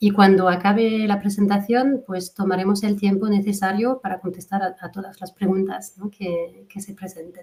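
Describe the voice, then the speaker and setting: Her medium-pitched voice is dark, mellow and somewhat breathy, flat and monotone in intonation, moving at a moderate pace with hardly any pauses while the loudness swings widely from moment to moment. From France. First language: French (speaking Spanish). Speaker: fertility coach, webinar moderator. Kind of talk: webinar introduction. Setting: online webinar.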